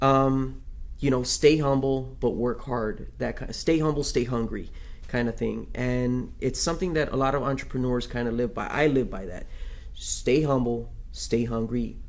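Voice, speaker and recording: There is audible room echo as a man talks at a moderate pace in a medium pitch with fairly even intonation. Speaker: live stream host. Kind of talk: interview. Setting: city hall. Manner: conversational.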